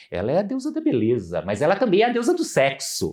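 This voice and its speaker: There is a very clean recording with a silent background. In it, a man talks. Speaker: psychoanalyst and professor. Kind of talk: podcast interview, explanatory. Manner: animated.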